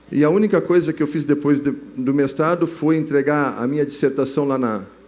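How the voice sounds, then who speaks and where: Fairly quick speech from a man with a fairly high pitch and fairly even intonation, in audible room echo. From southern Brazil, Rio Grande do Sul. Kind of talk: testimony at a religious youth congress. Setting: stage with audience. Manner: casual, halting with fillers.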